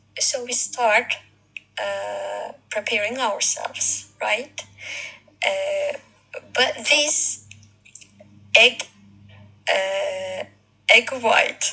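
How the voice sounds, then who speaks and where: Over music in the background, a woman speaks at a very slow pace, with long, frequent pauses. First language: not English. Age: 40s. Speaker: video blogger. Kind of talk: casual monologue. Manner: halting, many fillers.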